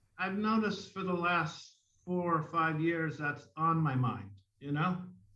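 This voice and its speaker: There is audible room echo around a man's voice. He speaks at a fairly slow pace with fairly even intonation. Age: 60s. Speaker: mime artist. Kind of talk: interview. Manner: conversational, with many fillers.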